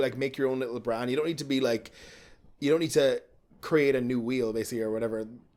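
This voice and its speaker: A man with an American accent at a very fast pace. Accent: Irish accent with a California twang. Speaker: drag performer. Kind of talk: casual chat.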